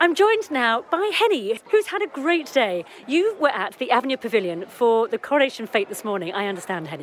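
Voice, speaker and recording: Over noticeable background noise, a woman speaks at a very fast pace. Her high voice makes very wide pitch swings. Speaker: community radio podcast co-host. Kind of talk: casual chat and interviews. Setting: outdoors at a village afternoon tea.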